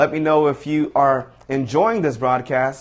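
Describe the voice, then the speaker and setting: A man with a normal speaking voice talks in a fairly high pitch with fairly even intonation. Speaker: motivational speaker. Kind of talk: live stream tutorial. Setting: live broadcast.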